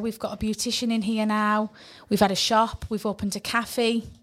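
With a Cumbrian accent, a woman speaks at a moderate pace. Her pitch is fairly high. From northern England. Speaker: community radio co-host, property professional. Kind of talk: casual chat. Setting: studio.

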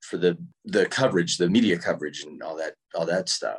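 The man's delivery moves at a moderate pace. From US South, North Carolina (Winston-Salem). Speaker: actor. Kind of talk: interview. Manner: halting, with frequent repetitions.

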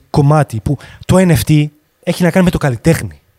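With a dark, mellow tone and a fairly high pitch, a man speaks at a fairly slow pace with ordinary pitch variation, in a dry, close sound with no echo. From France (Grenoble) until 12, then Thessaloniki. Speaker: 3D artist. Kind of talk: casual chat.

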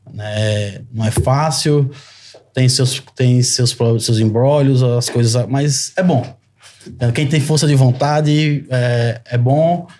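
Very slowly, a man speaks at a medium pitch in a somewhat breathy voice with a dark, mellow tone. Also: ordinary pitch variation. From Brazil, Sergipe. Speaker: lawyer. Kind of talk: podcast conversation.

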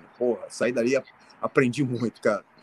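A man's medium-pitched voice comes across dry and close, with no echo. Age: 60s. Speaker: martial arts and fitness coach. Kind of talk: casual interview. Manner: halting, repetitive.

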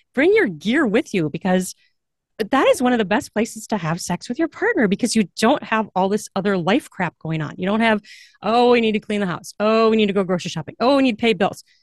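An unremarkable speaking voice moves at a fairly quick pace with lively intonation. The background is quiet, and the sound dry and close, with no echo. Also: woman, fairly high pitch for a woman. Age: 40s. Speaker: author and voiceover artist. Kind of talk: casual interview chat.

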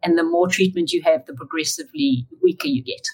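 A woman at medium pitch, somewhat breathy, swings her pitch very widely in a dry, close sound with no echo. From South Africa. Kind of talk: interview, faith testimony.

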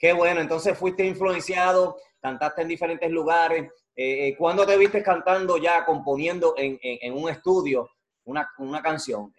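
A man speaks at a moderate pace. His voice is high-pitched, and its pitch varies in an ordinary way. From Puerto Rico. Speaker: YouTube interview show host. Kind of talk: casual interview.

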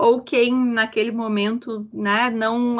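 A woman's fairly high pitch, with fairly even intonation. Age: 40s. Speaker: consultant and activist. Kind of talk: podcast interview.

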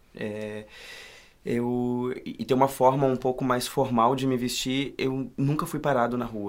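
Fairly even intonation from a man speaking at a medium pitch. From Rio Grande do Sul, Brazil. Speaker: actor. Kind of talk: casual chat. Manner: halting.

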